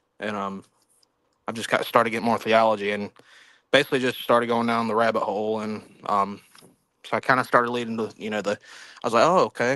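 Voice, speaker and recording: A man with a Southern US accent and a bright, sharp tone, very fast in pace yet with long, frequent pauses, fairly even intonation, and a very clean recording over a silent background. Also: medium pitch for a man. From South Carolina, US South. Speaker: caller on livestream. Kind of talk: casual chat. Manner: halting, many fillers.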